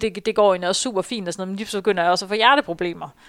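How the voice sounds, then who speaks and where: On a very clean recording with a silent background, a woman with an ordinary speaking voice talks at a medium pitch with ordinary pitch variation. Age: 30s. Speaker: runner and marketing employee. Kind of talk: interview, personal story.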